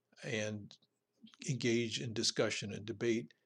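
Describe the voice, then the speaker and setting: Quiet background, with a man of medium pitch using a normal speaking voice at a moderate pace. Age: 60s. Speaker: political podcast host. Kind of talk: solo political commentary monologue. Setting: home recording for podcast and video.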